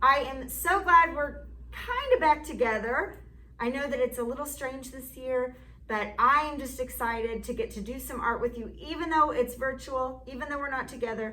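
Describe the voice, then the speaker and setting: Projecting her voice, a woman speaks at a high pitch and a moderate pace. Audible room echo and noticeable background noise come through. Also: ordinary pitch variation, big swings in loudness. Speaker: art teacher. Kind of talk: online class lesson. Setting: classroom.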